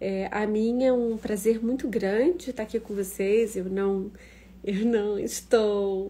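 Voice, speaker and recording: The tone is dark and mellow, the pace very slow and the intonation fairly even. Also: woman. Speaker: professor hosting an online talk. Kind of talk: casual live-stream talk. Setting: Instagram live stream.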